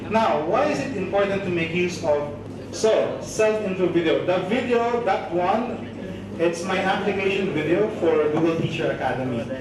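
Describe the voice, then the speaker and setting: There is noticeable background noise. Audible room echo surrounds the voice. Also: man. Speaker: teacher and trainer; teacher, trainer. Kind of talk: training workshop. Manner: normal pace, not fast. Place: classroom.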